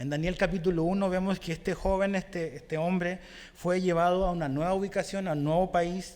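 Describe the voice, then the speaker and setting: A man with a high voice speaks at a moderate pace with fairly even intonation. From Chile. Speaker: pastor. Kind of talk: sermon.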